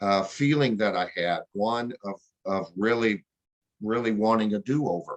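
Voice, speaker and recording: A fairly slow pace with ordinary pitch variation, in a dry, close sound with no echo. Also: man, fairly low pitch for a man. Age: 60s. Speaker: book reader sharing feedback. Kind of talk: casual chat. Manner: halting, many repeated words.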